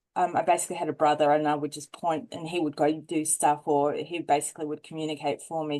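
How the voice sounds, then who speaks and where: A woman with a very deep, low pitch, a dark, mellow tone, monotone, flat intonation, a fairly quick pace and hardly any pauses. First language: not English. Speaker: poet and radiographer. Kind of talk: interview conversation. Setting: podcast interview. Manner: halting, many fillers.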